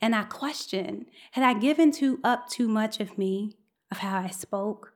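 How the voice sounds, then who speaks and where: In an ordinary speaking voice, a woman with an American accent speaks at a fairly slow pace and fairly high pitch, on a very clean recording with a silent background. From Chicago South Side. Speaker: scientist and storyteller. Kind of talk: storytelling performance. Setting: stage with live audience.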